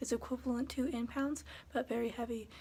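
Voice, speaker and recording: Somewhat breathy and fairly high-pitched, a woman speaks in a monotone, flat intonation with a dark, mellow tone. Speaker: custodian and vlogger. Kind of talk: casual vlog narration.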